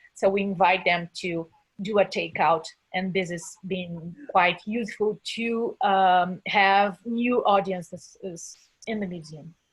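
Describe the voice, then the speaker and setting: A woman speaks at a very slow pace and a medium pitch, somewhat breathily. Her intonation stays fairly even while her loudness swings widely. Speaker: museum curator. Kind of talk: webinar panel discussion. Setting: live webinar. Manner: halting, many fillers and repetitions.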